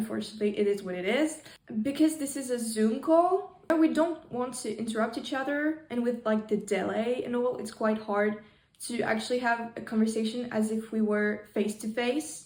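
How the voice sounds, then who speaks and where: A woman with a fairly high pitch talks at a moderate pace with ordinary pitch variation. Noticeable background noise runs underneath. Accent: non-native. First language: not English. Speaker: interviewer, fan account. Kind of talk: video intro. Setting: video call. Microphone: poor microphone.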